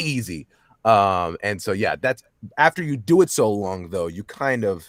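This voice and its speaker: The intonation is lively as a man with an American accent speaks in a fairly low pitch. The sound is dry and close, with no echo. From Texas, Dallas. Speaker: voice actor. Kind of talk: interview. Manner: fast talker.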